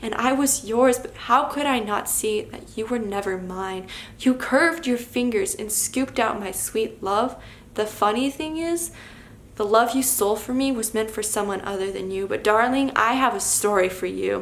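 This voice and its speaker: This is a plain, everyday voice with ordinary pitch variation, delivered at a moderate pace. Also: woman, fairly high pitch for a woman. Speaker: poet. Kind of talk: slam poetry performance.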